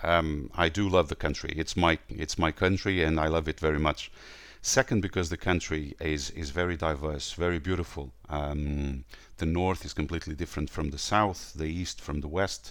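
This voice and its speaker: With a Portuguese accent, a man speaks at a moderate pace in a very deep, low voice with vocal fry and ordinary pitch variation. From northern Portugal. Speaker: tour company owner. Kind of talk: interview. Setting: remote call. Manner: hesitant, many fillers.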